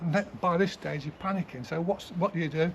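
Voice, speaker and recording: Somewhat breathy speech from a man, fairly quick in pace. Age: 70s. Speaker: gardener. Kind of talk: casual interview. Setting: outdoors in a garden.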